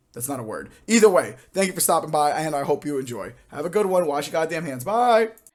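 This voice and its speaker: With hardly any pauses, a man talks at a fairly quick pace and fairly high pitch, his intonation lively and his loudness swinging widely, on a very clean recording with a silent background. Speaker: podcast host. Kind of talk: recorded intro announcement.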